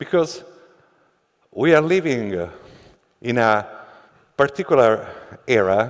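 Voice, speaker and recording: A man's medium-pitched voice at a fairly slow pace, with very wide pitch swings and long, frequent pauses. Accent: non-native. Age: middle-aged. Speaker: company founder and CEO. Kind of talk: keynote speech. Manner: halting, many fillers.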